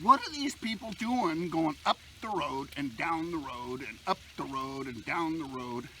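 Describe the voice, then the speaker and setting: Amid noticeable background noise, a man speaks at a fairly slow pace with hardly any pauses, a fairly high pitch, very wide pitch swings and big swings in loudness. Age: 60s. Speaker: bushcraft outdoors vlogger. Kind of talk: casual vlog monologue while cooking. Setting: outdoors at a campfire.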